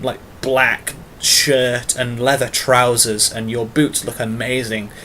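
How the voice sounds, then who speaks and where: A very slow pace in a strong English accent. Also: man. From England. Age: 20s. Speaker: YouTuber and artist. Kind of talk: casual vlog monologue. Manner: hesitant with fillers.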